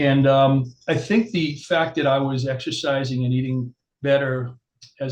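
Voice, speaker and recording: Somewhat breathy, a man with an American accent talks at a medium pitch with fairly even intonation. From New York, Long Island. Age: 60s. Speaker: chiropractor. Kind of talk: interview. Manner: hesitant, filler-heavy.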